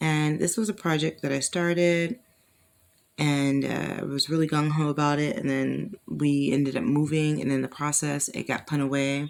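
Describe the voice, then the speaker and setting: A woman speaks at a moderate pace in a very deep, low voice. Her intonation is fairly even. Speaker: crochet video creator. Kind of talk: tutorial. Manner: casual, chatty.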